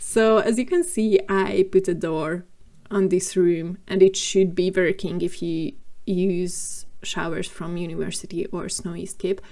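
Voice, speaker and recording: At a fairly slow pace, a woman of medium pitch speaks with a non-native accent. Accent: non-native English, noticeable. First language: not English. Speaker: gaming video creator. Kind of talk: voiceover narration of a game build. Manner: casual, with frequent fillers.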